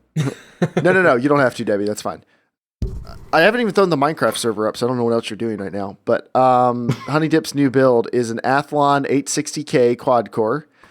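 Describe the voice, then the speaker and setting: Music plays behind a man with an American accent. He speaks fairly quickly at medium pitch with lively intonation. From US South. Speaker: podcast co-host. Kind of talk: casual chat.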